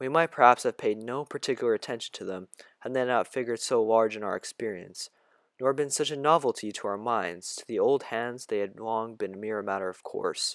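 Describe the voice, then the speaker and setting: At a fairly quick pace, a man speaks in a calm tone with a medium pitch and ordinary pitch variation. The very clean recording has a dry, close sound with no echo and a silent background. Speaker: audiobook reader. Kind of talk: reading aloud.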